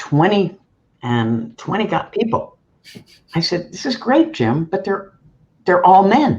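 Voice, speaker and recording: Fairly slow speech with vocal fry, very wide pitch swings and long, frequent pauses. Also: woman, medium pitch for a woman. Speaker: board director. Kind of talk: panel discussion.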